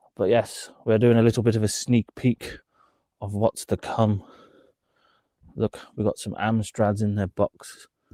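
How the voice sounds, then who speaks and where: With a British accent and a dark, mellow tone, a man of medium pitch speaks at a fairly slow pace with long, frequent pauses, the sound dry and close with no echo. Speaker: reseller streamer. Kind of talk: live stream casual chat. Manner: animated.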